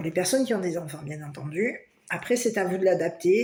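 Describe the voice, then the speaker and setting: Dark and mellow in tone, a woman's fairly low voice moves at a fairly quick pace with lively intonation. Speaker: tarot card reader. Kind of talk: tarot reading for viewers. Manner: loud; hesitant, many fillers.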